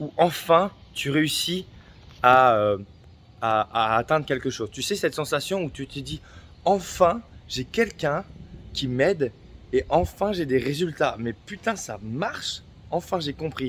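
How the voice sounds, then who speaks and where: A man's fairly high voice, very slow, with long, frequent pauses and very wide pitch swings. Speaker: fitness and weight-loss coach. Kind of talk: casual vlog monologue. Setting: outdoors at sunset. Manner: halting, many fillers.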